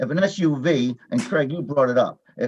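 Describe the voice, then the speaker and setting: In an ordinary speaking voice, a man with a fairly high pitch talks with lively intonation. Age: 60s. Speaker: board chairman. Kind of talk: public meeting discussion. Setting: virtual meeting.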